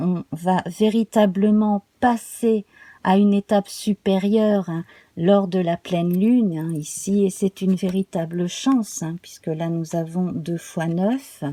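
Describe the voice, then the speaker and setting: A woman's dark, mellow tone at medium pitch with ordinary pitch variation, very slow pace, and a dry, close sound with no echo. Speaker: tarot reader. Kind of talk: tarot reading guidance video. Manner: calm, soothing.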